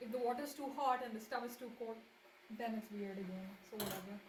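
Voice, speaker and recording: A woman talks fairly quickly at a high pitch with ordinary pitch variation. Noticeable background noise and audible room echo surround her voice. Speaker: streamer. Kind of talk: casual livestream cooking chat. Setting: home kitchen livestream. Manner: halting, repeats words. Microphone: laptop mic, poor audio.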